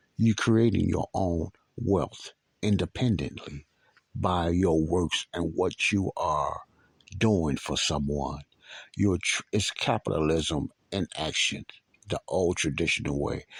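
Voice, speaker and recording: A man speaks with a very deep, low voice at a very slow pace. The sound is dry and close, with no echo. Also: ordinary pitch variation. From Chicago, South Side (Morgan Park). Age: 60s. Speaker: podcast host. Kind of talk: personal storytelling monologue. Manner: casual, conversational with repetitions.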